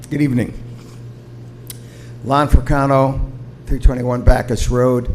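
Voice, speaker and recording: Amid audible room echo, a man at medium pitch speaks in a monotone, flat way at a fairly slow pace with long, frequent pauses. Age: 70s. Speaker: retired ambulance service provider, public commenter. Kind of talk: public comment at city council meeting. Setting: city council meeting. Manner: halting.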